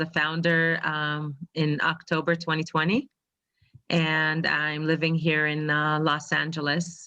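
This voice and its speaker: A woman's very deep, low voice in an Israeli accent, monotone and flat, at a fairly slow pace. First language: Hebrew. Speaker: financial advisor. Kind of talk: testimony. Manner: halting.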